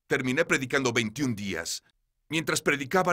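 A man's bright, sharp voice at a moderate pace, with ordinary pitch variation, on a very clean recording with a silent background. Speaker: evangelist preacher (Spanish dubbed voice). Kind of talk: TV interview testimony. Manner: urgent.

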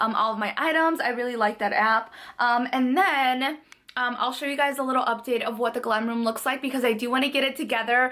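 A woman with a high pitch speaks with fairly even intonation. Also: fairly quick pace. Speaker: lifestyle vlogger. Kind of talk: casual vlog chat. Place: home room. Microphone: phone near.

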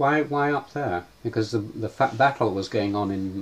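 A man with a fairly low, somewhat breathy voice talks at a moderate pace with ordinary pitch variation, recorded very cleanly against a silent background. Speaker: interviewer. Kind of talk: interview question.

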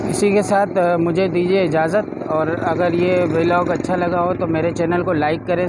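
The speech moves at a fairly slow pace beneath loud background noise. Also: man, dry sound with no echo. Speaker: travel food vlogger. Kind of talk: casual vlog chat. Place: street. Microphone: lapel.

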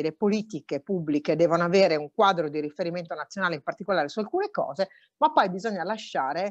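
A woman at a fairly quick pace with lively intonation, a dry sound with no echo and a quiet background. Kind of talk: conference speech. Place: office. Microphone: earbuds.

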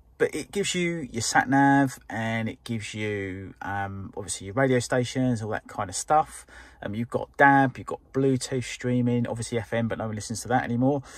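At a moderate pace with hardly any pauses, a man speaks with ordinary pitch variation in a dry sound with no echo. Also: quiet background. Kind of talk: casual vlog chat. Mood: relaxed, mildly impressed. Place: car. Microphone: phone near.

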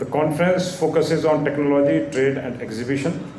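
A man talks at a fairly quick pace with fairly even intonation. Light background noise and audible room echo are present. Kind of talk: formal speech. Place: hall. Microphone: podium.

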